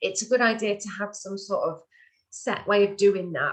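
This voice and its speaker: Female voice at medium pitch, its intonation fairly even. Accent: northern English. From northern England. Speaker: webinar presenter. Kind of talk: tutorial. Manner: hesitant, many fillers.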